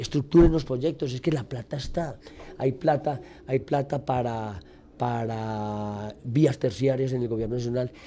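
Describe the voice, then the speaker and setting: Fairly slow delivery carries a dark, mellow tone with ordinary pitch variation. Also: man, medium pitch for a man. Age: 60s. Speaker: politician. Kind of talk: radio interview. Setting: radio studio.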